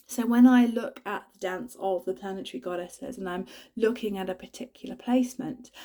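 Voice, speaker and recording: Speech in a British accent comes at a moderate pace. The tone is dark and mellow, and the intonation is lively. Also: woman. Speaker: spiritual astrology vlogger. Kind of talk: casual spiritual talk to camera.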